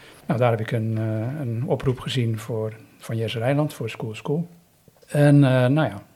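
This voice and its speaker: With ordinary pitch variation, this man talks in a somewhat breathy voice. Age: 50s. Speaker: volunteer youth mentor. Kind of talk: interview. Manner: halting.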